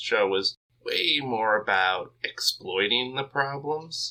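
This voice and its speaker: This is a man speaking. He has an American accent. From United States. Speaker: podcast co-host. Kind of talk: casual chat.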